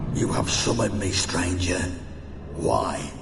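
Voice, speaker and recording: A man uses a put-on character voice with a very deep, low pitch at a fairly slow pace. Loud background noise and a clear echo fill the recording. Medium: game stream. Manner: menacing, haughty.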